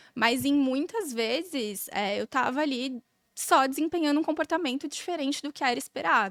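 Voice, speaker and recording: On a very clean recording with a silent background and a dry, close sound with no echo, a woman talks at a moderate pace with ordinary pitch variation. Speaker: podcast guest, corporate manager with law background. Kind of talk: casual chat. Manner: calm.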